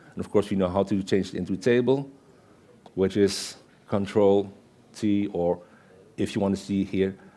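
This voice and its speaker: A man's fairly low voice with a dark, mellow tone and a Dutch accent, at a moderate pace with fairly even intonation and long, frequent pauses. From Netherlands. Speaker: Excel consultant and conference speaker; conference speaker. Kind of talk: conference presentation with live demo. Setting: stage with audience. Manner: conversational, interactive with audience.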